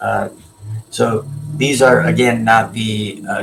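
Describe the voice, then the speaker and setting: Against noticeable background noise, a man talks at a fairly slow pace in a fairly low voice. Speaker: collectibles seller and live streamer. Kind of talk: live stream show-and-tell. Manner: halting, many filler words.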